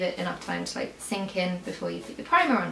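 A woman speaks with audible room echo. Faint music plays in the background. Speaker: beauty vlogger. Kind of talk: casual vlog chat. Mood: relaxed, light-hearted. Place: home room.

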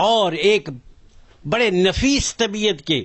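Man at a high pitch with ordinary pitch variation. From Pakistan, Azad Kashmir (Mirpur). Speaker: religious movement elder. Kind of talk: interview testimony.

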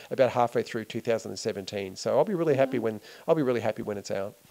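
A man with an Australian accent, very fast pace and dark, mellow tone. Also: quiet background. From Australia, Melbourne. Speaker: filmmaker. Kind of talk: interview. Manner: hesitant, many fillers. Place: home room. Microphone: handheld.

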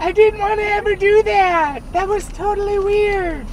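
An extremely high, cartoonish character voice comes through over clear background noise. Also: moderate pace. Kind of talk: comedic kids show banter. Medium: puppet.

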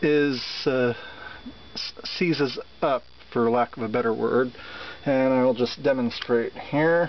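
The speech moves at a very slow pace with fairly even intonation, in a dry sound with no echo over light background noise. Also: man. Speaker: seller demonstrating an item. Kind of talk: product demonstration. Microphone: phone near.

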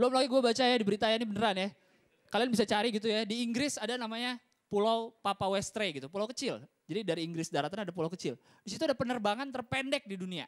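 Against a quiet background, a man with a high pitch speaks at a very fast pace in an animated tone with ordinary pitch variation. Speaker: stand-up comedian. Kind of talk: stand-up comedy. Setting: stage with audience. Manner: animated, crowd-teasing, punchline-driven delivery; casual Jakarta slang, conversational. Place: stage. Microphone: handheld.

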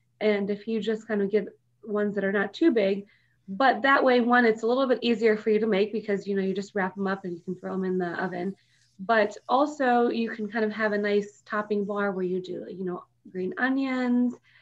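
Against a quiet background, the speech moves at a fairly quick pace with fairly even intonation. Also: woman. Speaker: radio guest. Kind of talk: interview answer. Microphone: video call.

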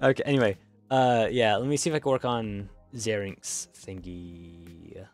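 Music plays behind a man talking at a fairly slow pace. His intonation is lively. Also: medium pitch for a man. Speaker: streamer and artist. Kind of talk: casual chat. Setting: live stream. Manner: halting.

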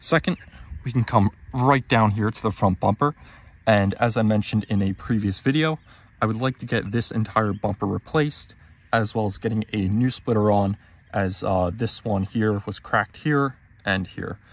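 A man speaks at a moderate pace in an unremarkable speaking voice, pitched fairly low. His pitch varies in an ordinary way, and the sound is dry with no echo. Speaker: car owner vlogger. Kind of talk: casual vlog walkthrough. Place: street. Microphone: phone near.

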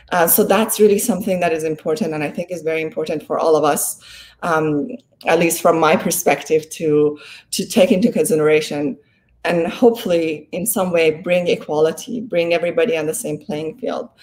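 A woman's fairly quick, fairly low-pitched speech, with ordinary pitch variation. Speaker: law professor and development expert. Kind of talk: interview. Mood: earnest, reflective. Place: home room.

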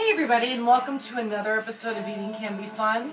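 A woman speaks with clear music in the background. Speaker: home cooking vlogger. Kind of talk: casual vlog chat. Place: kitchen.

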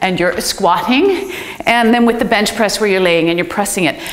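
Female speech in a space with audible room echo. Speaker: fitness trainer. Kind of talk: tutorial. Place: gym.

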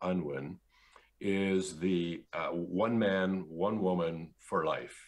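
In a Canadian accent, a man speaks very slowly with a very deep, low pitch. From central Canada. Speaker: engineer and philosopher; interview guest. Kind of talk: interview. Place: home room. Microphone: video call.

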